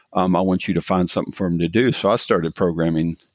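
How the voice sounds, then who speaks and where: Speaking at a fairly quick pace, a man with a very deep, low pitch keeps his intonation fairly even in a dry, close sound with no echo. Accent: Southern Appalachian. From US South, rural mountains of Virginia. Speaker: tech company CEO. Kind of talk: podcast interview. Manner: halting, many fillers.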